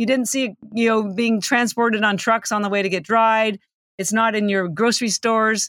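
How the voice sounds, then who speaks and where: Recorded dry and close with no echo against a very clean, silent background, a woman speaks in a normal speaking voice, fairly high in pitch, at a moderate pace with fairly even intonation. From Canada. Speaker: nutrition entrepreneur, algae expert. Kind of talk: interview.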